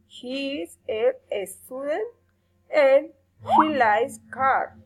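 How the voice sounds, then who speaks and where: Lively intonation at a very slow pace. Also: woman, high pitch for a woman. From Colombia (Barrancabermeja). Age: 30s. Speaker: language student. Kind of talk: reading aloud.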